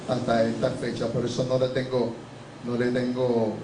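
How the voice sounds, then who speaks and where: A man talks at a moderate pace. Noticeable background noise and audible room echo are present. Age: 60s. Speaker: pastor. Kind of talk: testimony. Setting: church.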